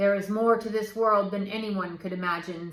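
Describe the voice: In a put-on character voice, a woman booms at medium pitch with monotone, flat intonation and a moderate pace.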